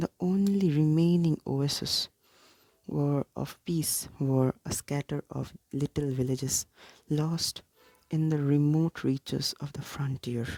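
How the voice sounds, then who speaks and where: The speaker is soft-spoken, with a calm tone and a very slow pace. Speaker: ASMR content creator. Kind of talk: reading a book aloud, soft-spoken. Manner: soft-spoken, calm, measured.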